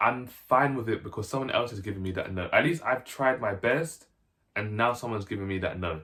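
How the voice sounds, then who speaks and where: An unremarkable speaking voice from a man, medium in pitch, fairly quick, with lively intonation. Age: 20s. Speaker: YouTuber. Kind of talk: casual vlog talk to camera. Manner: casual, filler-heavy.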